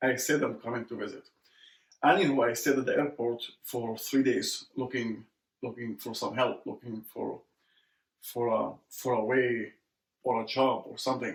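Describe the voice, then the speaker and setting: The speaker talks at a moderate pace with an Arabic accent. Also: man, medium pitch for a man, ordinary pitch variation. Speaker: immigrant entrepreneur. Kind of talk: interview conversation.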